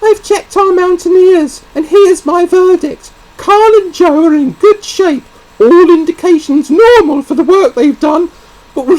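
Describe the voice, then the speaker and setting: A squeaky, put-on character voice from a man, extremely high in pitch, at a moderate pace. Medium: read story. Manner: brisk, firm.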